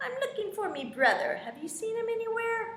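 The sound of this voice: Putting on a squeaky character voice, a woman talks at an extremely high pitch and a fairly quick pace, with slight echo and light background noise.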